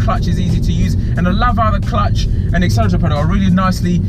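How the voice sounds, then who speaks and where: Music plays behind a man speaking. The sound is dry, with no echo. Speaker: car reviewer. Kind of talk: casual car review commentary. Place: car. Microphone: phone near.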